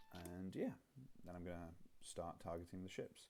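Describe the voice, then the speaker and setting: A man speaks softly at a moderate pace. His pitch is very deep and low. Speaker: game designer. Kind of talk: tutorial. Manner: soft-spoken; halting.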